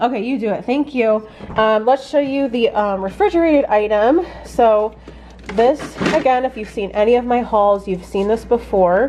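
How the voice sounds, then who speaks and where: With noticeable background noise behind her, a woman talks at a moderate pace in a fairly high voice with ordinary pitch variation. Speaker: homesteading vlogger. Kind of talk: casual haul vlog.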